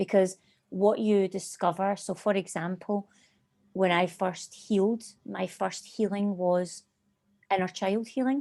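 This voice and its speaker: A woman with a Scottish accent and medium pitch speaks at a fairly slow pace, with long, frequent pauses, fairly even intonation and a dark, mellow tone, in a very clean recording with a silent background. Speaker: hypnotherapist and life coach. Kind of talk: interview conversation.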